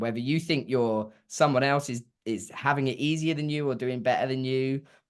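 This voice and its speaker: A medium-pitched man with an English accent at a moderate pace, ordinary pitch variation, over a quiet background. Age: young. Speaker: singer-songwriter. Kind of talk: interview answer.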